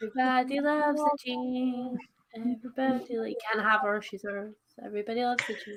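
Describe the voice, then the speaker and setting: A woman's high-pitched voice at a fairly quick pace, with big swings in loudness. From England, Suffolk. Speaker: booktuber. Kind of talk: casual chat. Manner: animated.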